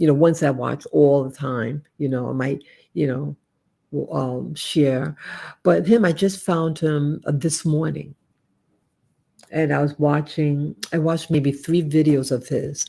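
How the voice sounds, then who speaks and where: In an American accent, a woman with a very deep, low pitch and a dark, mellow tone speaks at a fairly slow pace with fairly even intonation. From United States. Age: 60s. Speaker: YouTuber and Navy veteran. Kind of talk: casual live stream monologue. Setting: home living room live stream. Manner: halting.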